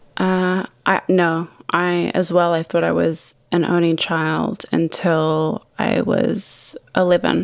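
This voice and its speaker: Delivered at a very slow pace with hardly any pauses, this voice has a New Zealand accent, very even loudness and monotone, flat intonation. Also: woman, fairly low pitch for a woman. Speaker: wine company founder. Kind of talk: interview.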